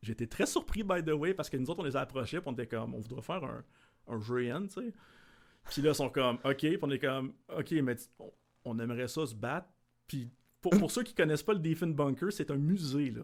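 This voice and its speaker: A man with an unremarkable speaking voice talks at a fairly high pitch and a fairly quick pace. His intonation is lively, and his loudness swings widely. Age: 30s. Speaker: larp event organizer. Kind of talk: casual chat.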